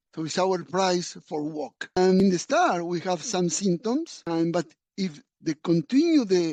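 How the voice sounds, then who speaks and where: In a Spanish accent, a man with a high pitch and a dark, mellow tone speaks at a very slow pace with ordinary pitch variation, in a dry, close sound with no echo. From Argentina. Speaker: physician. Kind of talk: lecture. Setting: webinar.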